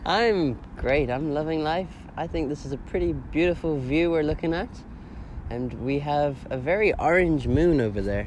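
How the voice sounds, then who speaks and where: A man speaks in a fairly high pitch. Room echo is audible. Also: ordinary pitch variation, moderate pace. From South Africa, Cape Town. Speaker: podcast host. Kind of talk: casual chat; scripted narration. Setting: outdoors.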